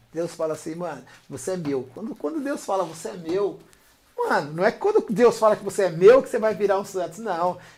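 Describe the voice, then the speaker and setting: A man's high voice at a fairly quick pace, with lively intonation, big swings in loudness and noticeable background noise. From São Paulo, Brazil. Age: 50s. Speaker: DJ and rapper. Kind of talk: casual interview.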